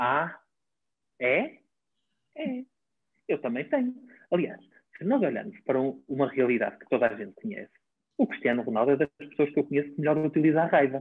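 A man with a fairly high pitch and lively intonation talks at a fairly quick pace, with big swings in loudness and long, frequent pauses. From northern Portugal, Baião. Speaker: physiotherapist and traditional Chinese medicine practitioner. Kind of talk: interview conversation.

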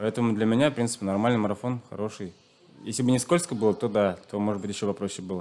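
A man with a Chuvash accent talks with ordinary pitch variation. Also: fairly low pitch for a man. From Chuvashia, rural village. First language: Chuvash (speaking Russian). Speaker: long-distance runner. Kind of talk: interview. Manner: hesitant, many fillers.

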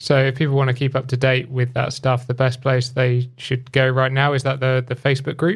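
With hardly any pauses, a man at medium pitch talks at a fairly quick pace in a somewhat breathy, monotone, flat voice of very even loudness. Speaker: podcast host. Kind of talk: casual interview chat.

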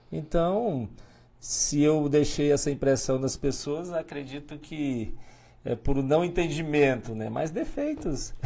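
At a very slow pace, a man with a fairly high pitch speaks in a dark, mellow tone with ordinary pitch variation. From Tocantins, Brazil (north-central). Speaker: mayor, former police officer. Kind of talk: interview. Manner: hesitant, many fillers.

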